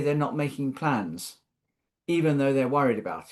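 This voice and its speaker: Over a quiet background, the speaker has a British accent and a moderate pace. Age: 60s. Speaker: social care policy expert panelist. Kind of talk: webinar panel talk. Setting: online webinar. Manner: thoughtful, conversational with hesitations.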